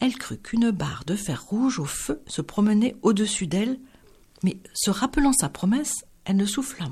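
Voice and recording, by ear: In a natural voice, a person reads a text aloud.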